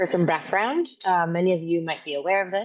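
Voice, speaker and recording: Words come at a fairly quick pace. They are spoken with an American accent. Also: woman. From Miami, Florida; Dominican American. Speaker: physician and health equity researcher. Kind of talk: presentation. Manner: fast.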